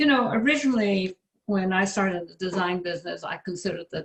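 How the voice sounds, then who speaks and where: A woman speaks in a fairly low, somewhat breathy voice. Her pace is fairly quick. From west of Ireland. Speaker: interior designer. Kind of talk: panel discussion.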